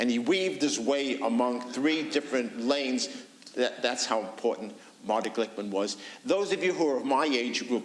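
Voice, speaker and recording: Over noticeable background noise, a man with a New York accent speaks at a moderate pace in a medium pitch with ordinary pitch variation. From New York City. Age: 70s. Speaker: author and historian. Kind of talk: book talk interview.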